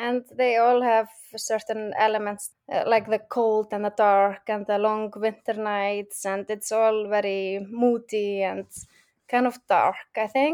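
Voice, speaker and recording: Monotone, flat intonation in a strong Icelandic accent at a fairly slow pace, on a very clean recording with a silent background. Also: woman, fairly high pitch for a woman. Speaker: crime novelist. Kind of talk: interview. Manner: laughs often.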